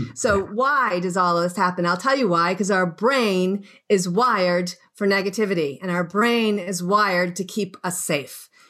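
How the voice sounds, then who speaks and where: On a very clean recording with a silent background, a woman speaks at a medium pitch and moderate pace in a bright, sharp tone with ordinary pitch variation. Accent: Boston. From US, Boston. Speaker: wellness coach. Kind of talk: radio interview.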